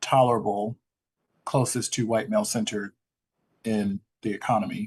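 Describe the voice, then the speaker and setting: With an American accent, a man speaks at a moderate pace in a dry, close recording with no echo. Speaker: graduate student. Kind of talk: class discussion. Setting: classroom.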